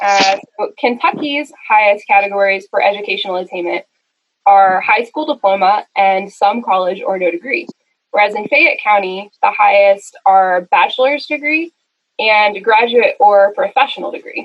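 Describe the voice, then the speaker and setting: In an ordinary speaking voice, the speech holds a moderate pace and ordinary pitch variation. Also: woman, medium pitch for a woman. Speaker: city planner presenting to planning commission. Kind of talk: presentation at a video meeting.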